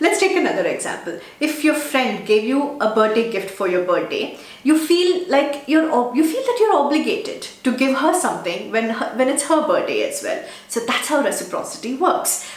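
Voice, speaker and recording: A woman's high voice with very wide pitch swings at a moderate pace, amid audible room echo and noticeable background noise. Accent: Telugu. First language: Telugu. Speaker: digital marketing YouTuber. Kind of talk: tutorial.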